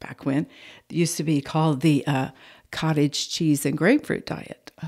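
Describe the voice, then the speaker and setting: A woman with a very deep, low pitch and an American accent, with ordinary pitch variation. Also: very clean recording, silent background. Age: 70s. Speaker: podcast guest. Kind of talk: casual chat. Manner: animated.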